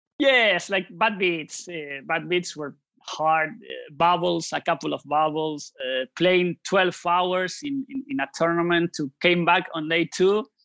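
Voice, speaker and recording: A man with a Spanish accent speaks in a bright, sharp, high voice with lively intonation, at a fairly slow pace with hardly any pauses. The sound is dry and close with no echo, over a quiet background. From Argentina, Buenos Aires. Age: 30s. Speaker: poker author. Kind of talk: casual interview. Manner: halting, many repetitions.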